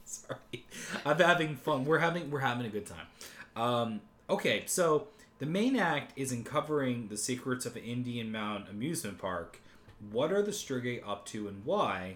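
With an American accent, a man talks at a moderate pace and a medium pitch. His pitch swings very widely and his loudness rises and falls a lot. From United States. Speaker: podcast co-host. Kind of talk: casual chat.

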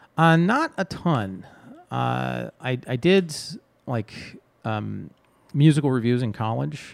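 A man speaks at a very slow pace. Long, frequent pauses break up his speech. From Texas. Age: 40s. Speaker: improv comedian and theater director. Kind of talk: casual chat.

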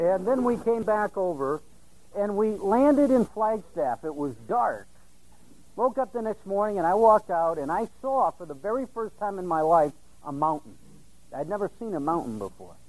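This man's voice sits high, with lively intonation. His pace is moderate. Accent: American. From Iowa, US Midwest. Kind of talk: testimony.

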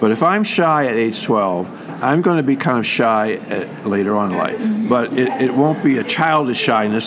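Over music in the background, a man with a medium-pitched voice talks at a moderate pace with lively intonation. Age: 70s. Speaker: psychologist. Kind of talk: interview. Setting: convention. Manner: halting.

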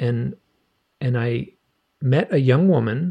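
A man speaks at a medium pitch against a quiet background. His voice is somewhat breathy. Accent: American. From Michigan. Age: 60s. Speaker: author. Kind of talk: casual interview. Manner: halting, many repeated words.

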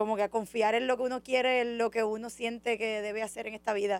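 Her monotone, flat intonation sits on a fairly high pitch as this woman talks. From Puerto Rico, Orocovis. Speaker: artist, co-founder of an arts collective. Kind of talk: interview.

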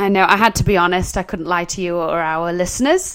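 A woman with an American accent, medium pitch, ordinary pitch variation and a fairly quick pace. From Wales, then US. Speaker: social media marketer, co-host. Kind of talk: casual chat, podcast conversation. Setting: small room recorded in a closet.

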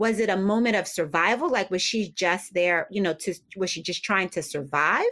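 A woman's bright, sharp voice at a medium pitch with an American accent, moderate in pace, with ordinary pitch variation. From US Northeast, Philadelphia. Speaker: novelist, former publicist. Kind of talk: interview.

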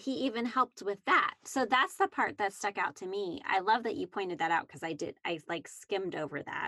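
A woman with a normal speaking voice talks at a fairly quick pace with hardly any pauses, using a medium pitch and lively intonation in a dry, close sound with no echo. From Canada. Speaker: Bible study podcast co-host. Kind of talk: casual Bible discussion.

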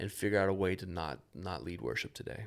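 On a very clean recording with a silent background, a man with an American accent and an unremarkable speaking voice talks at a fairly quick pace in a fairly low pitch with ordinary pitch variation. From Tallahassee, Florida (US South). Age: 40s. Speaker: church volunteer team leader, former worship leader. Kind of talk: testimony.

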